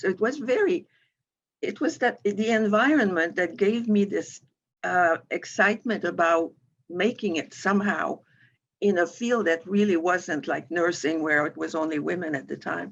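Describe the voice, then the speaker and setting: The speaker has a French Canadian accent and lively intonation. The pace is moderate over a quiet background. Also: woman, medium pitch for a woman. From Quebec, Montreal. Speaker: financial firm president. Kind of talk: interview. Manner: halting, with many fillers and restarts.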